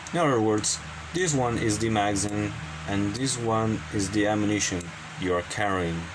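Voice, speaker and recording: Audible room echo and noticeable background noise, with ordinary pitch variation, a moderate pace and very even loudness. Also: man, fairly low pitch for a man. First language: not English. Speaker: game development hobbyist youtuber. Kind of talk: tutorial. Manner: halting.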